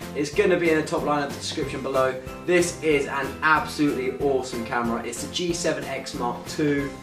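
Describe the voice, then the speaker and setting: The speaking pace is moderate. Music plays clearly in the background. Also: man. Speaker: vlogger. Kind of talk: casual vlog chat. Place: home room. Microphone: camera far.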